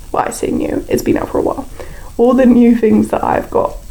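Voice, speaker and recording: A woman with a British accent speaks over noticeable background noise. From Britain. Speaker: YouTuber building in a game. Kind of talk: casual voiceover commentary. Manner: casual, lots of filler words.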